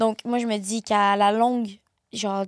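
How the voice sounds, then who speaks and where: Monotone, flat intonation at a fairly slow pace with a Quebec accent, the sound dry and close with no echo. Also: woman. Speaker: content creator. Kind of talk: casual chat.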